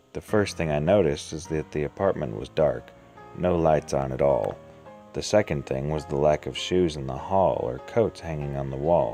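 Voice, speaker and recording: A man speaks at a moderate pace in a very deep, low voice with ordinary pitch variation, music playing in the background. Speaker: story narrator. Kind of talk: horror story reading.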